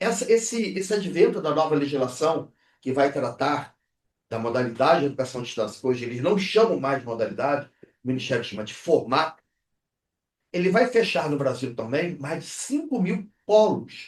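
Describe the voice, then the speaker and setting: The man's voice is fairly high in pitch and somewhat breathy. He moves at a moderate pace with very wide pitch swings. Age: 60s. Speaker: university rector and founder. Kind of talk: podcast interview.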